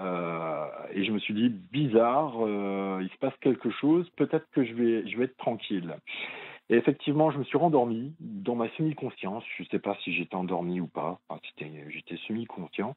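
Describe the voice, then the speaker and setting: With lively intonation, big swings in loudness and hardly any pauses, a man speaks at a medium pitch. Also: moderate pace. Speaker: caller. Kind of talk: testimony. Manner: halting.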